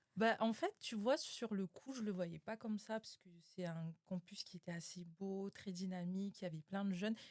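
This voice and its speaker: A woman's unremarkable speaking voice at medium pitch and moderate pace, with ordinary pitch variation, big swings in loudness, hardly any pauses, and a dry, close sound with no echo. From New Caledonia. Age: 20s. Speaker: podcast guest. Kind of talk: casual interview.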